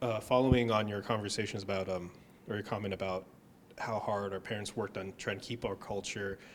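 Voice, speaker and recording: A man talking at a fairly quick pace in a monotone, flat intonation amid noticeable background noise. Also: fairly low pitch for a man. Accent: American. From United States. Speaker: ballet company employee. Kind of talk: interview.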